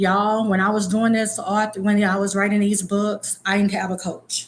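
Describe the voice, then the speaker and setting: At a moderate pace, a woman with a medium pitch speaks in a somewhat breathy voice. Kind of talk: casual vlog talk. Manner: casual, occasionally tongue-tied.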